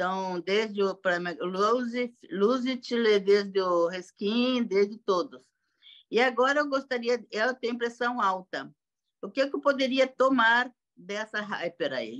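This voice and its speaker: A woman speaks very slowly in a fairly high voice. Her intonation is lively. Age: 60s. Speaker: sales representative asking a question. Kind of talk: question in online training. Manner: halting.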